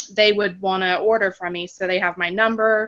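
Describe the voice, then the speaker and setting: A woman speaks at a medium pitch in a bright, sharp tone. Her intonation is monotone and flat. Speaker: team member, HR worker. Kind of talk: video call sharing tips. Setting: video call on phone. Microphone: phone connection cutting in and out.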